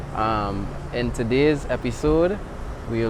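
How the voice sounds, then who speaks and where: Through noticeable background noise, a man at medium pitch speaks at a very slow pace with ordinary pitch variation. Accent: Trinidadian. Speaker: hiking vlogger. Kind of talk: casual talk to camera. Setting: outdoors.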